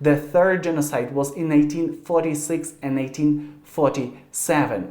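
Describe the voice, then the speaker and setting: Amid audible room echo, a man with a Ukrainian accent talks in a dark, mellow tone, fairly high in pitch with fairly even intonation. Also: moderate pace. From Ukraine. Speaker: YouTuber. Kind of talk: video address to camera. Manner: halting.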